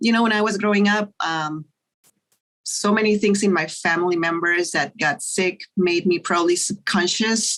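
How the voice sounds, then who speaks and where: A woman with a Spanish accent at medium pitch, moderate pace, very even loudness and fairly even intonation. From Mexico. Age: 60s. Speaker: pathologist. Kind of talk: interview.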